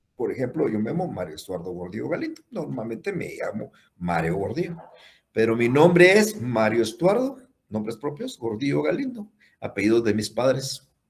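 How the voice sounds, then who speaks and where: His pitch rises and falls across a very wide range. The man's delivery keeps a moderate pace. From Guatemala. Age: 60s. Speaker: law professor. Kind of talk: lecture.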